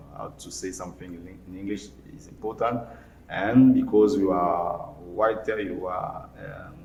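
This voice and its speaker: There is noticeable background noise and audible room echo. A man speaks fairly slowly in a fairly low pitch, with ordinary pitch variation and big swings in loudness. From DR Congo, Mbandaka (Equateur province). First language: Lingala and French. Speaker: writer and lawyer. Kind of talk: interview. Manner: halting, many fillers and repetitions.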